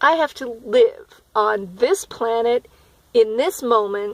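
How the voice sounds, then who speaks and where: The speaker has an animated tone. Pitch moves with ordinary variation. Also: woman. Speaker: spiritual vlogger. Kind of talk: personal video diary.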